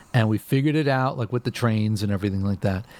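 A man with an American accent, an animated tone and a fairly quick pace. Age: 40s. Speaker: bass guitarist. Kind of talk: casual chat.

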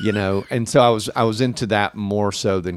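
With a Tennessee accent, a man speaks at a fairly low pitch. The sound is dry and close, with no echo. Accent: Southern US (Tennessee). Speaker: city mayor. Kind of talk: casual chat.

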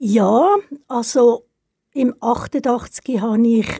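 Dry and close with no echo, a woman's fairly high voice carries a dark, mellow tone and fairly even intonation. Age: 70s. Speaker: retired cultural organizer. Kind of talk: interview.

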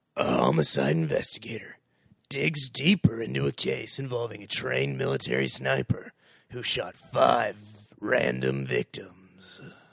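A man uses a put-on character voice with a very deep, low pitch at a moderate pace. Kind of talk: dramatic, trailer-style narration. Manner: imitation of a movie character.

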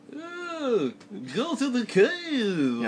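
A man puts on a character voice at an extremely high pitch with very wide pitch swings. Clear background noise can be heard.

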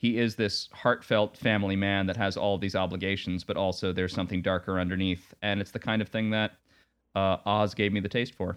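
At a fairly quick pace, a man with an American accent talks at a fairly low pitch in a monotone, flat intonation. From Long Island, New York. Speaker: podcast co-host. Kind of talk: casual chat.

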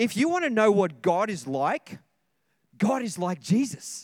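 A man with an Australian accent talks at a high pitch and a fairly slow pace, his voice making very wide pitch swings. The recording is very clean, with a silent background. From Australia (Sydney). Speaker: senior pastor. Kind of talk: sermon. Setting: church service with congregation.

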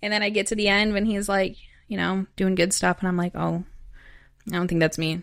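With an American accent, a woman speaks at a fairly quick pace in a flat monotone, broken by long, frequent pauses. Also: medium pitch for a woman, very clean recording, silent background. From US Midwest, southern Wisconsin (Madison). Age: 20s. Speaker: former gang member and trafficking survivor, author. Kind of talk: testimony.

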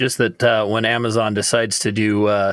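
A man with a normal speaking voice, fairly low in pitch and fairly even in intonation, in a dry, close sound with no echo. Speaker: panel member. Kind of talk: casual panel discussion.

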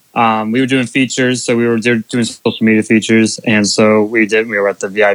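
Here is a man with an American accent and an unremarkable speaking voice. His pitch is medium and his pace moderate. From US, Bainbridge area. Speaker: racing media content creator. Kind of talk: casual chat.

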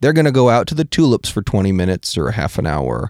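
The recording is very clean with a silent background as a man talks in an American accent. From Washington State. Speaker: photographer and artist. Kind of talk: casual chat. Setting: studio.

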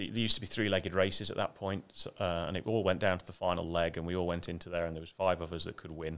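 In a very clean recording with a silent background, a man with an English accent speaks very fast in a very deep, low pitch with big swings in loudness. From England, Ashby de la Zouch (East Midlands). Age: 50s. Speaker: RC car company executive. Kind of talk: interview.

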